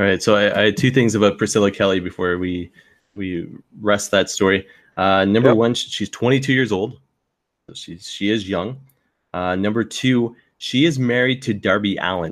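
On a very clean recording with a silent background, a man with a fairly low voice talks at a moderate pace with ordinary pitch variation. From Canadian Maritimes. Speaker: wrestling podcaster. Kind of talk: casual chat. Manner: halting, many fillers.

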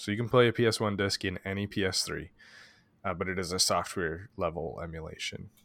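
A man's unremarkable speaking voice, fairly low in pitch, with fairly even intonation and a fairly quick pace on a very clean recording with a silent background. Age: 30s. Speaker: podcast co-host, retro gaming. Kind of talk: casual chat.

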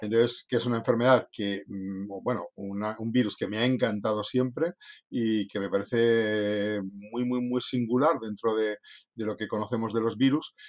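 A man with an ordinary speaking voice, medium pitch, fairly even intonation and a fairly slow pace against a quiet background. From northern Spain (Cantabria coast). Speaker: veterinarian. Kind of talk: interview. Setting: after lunch conversation.

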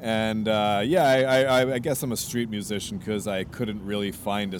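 A man with a fairly low-pitched voice speaks, and the room echo is audible. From Canada, Vancouver. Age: 30s. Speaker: street musician. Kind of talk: interview. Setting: outdoors on the street. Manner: halting, many repeated words.

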